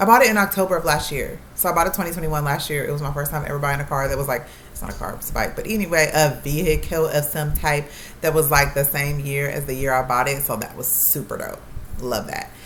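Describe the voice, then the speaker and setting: In a room with audible echo and noticeable background noise, a woman talks at a very fast pace with a very deep, low pitch and ordinary pitch variation. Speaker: YouTuber, nursing student. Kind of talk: casual vlog talk to camera. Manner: rambling with many ums.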